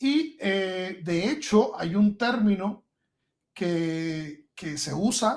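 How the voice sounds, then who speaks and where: The man's high voice carries lively intonation. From Guantánamo, eastern Cuba. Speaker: podcast guest, computer scientist. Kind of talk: podcast conversation.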